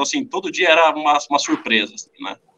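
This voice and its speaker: Bright, sharp tone from a man, with ordinary pitch variation. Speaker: drummer. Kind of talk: casual chat. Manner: halting. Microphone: poor mic, noisy sound.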